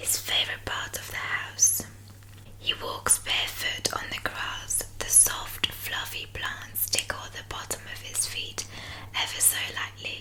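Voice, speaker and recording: Whispering in a soothing tone, a woman speaks at a fairly slow pace with big swings in loudness over noticeable background noise. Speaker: ASMR artist. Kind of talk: bedtime story reading. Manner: whispered, slow, soothing.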